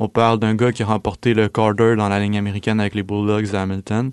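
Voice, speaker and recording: Against a quiet background, a man talks very fast in a fairly low pitch. His intonation is monotone and flat, and the sound is dry and close with no echo. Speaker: university student. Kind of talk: casual chat.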